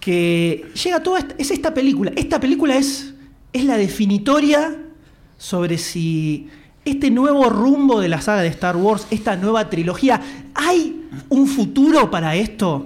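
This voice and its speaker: Audible room echo surrounds a man whose extremely high pitch moves in very wide swings as he talks at a fairly slow pace. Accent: Rioplatense. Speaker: podcast host. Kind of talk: live podcast panel chat before audience. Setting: stage with live audience.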